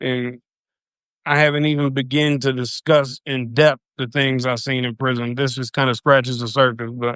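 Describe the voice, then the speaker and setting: With a strong Louisiana accent, a man talks at a moderate pace in a monotone, flat intonation. The background is quiet. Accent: thick Louisiana. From US South, Louisiana (South Baton Rouge). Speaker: recovering addict, former prisoner telling his story. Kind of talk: personal storytelling on a live video. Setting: live video stream. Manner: casual, uses slang and swears.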